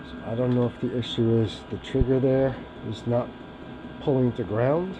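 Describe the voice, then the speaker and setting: A man of medium pitch at a moderate pace with fairly even intonation, noticeable background noise behind him. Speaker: paramotor hobbyist mechanic. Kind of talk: casual repair talk to camera. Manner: monotone.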